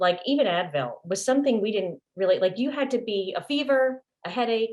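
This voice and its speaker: With lively intonation, a woman talks at a fairly brisk speed. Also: fairly high pitch for a woman. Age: 50s. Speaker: network marketing seller and nail tech. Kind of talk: testimony. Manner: fast.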